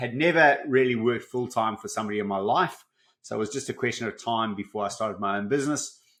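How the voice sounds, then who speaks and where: Over a quiet background, a man with a South African accent speaks at a medium pitch. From South Africa, Johannesburg. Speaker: business coach. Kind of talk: podcast interview.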